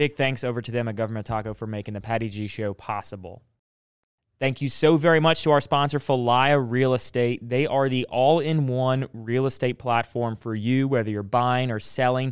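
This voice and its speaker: In a Southern US accent, a man talks at a moderate pace with medium pitch and fairly even intonation. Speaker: podcast host. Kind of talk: casual chat. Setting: studio.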